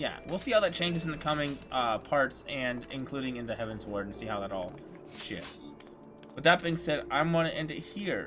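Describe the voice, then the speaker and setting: A man speaks at a moderate pace. Behind his voice, music is playing. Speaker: gaming video host. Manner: halting, repeats words.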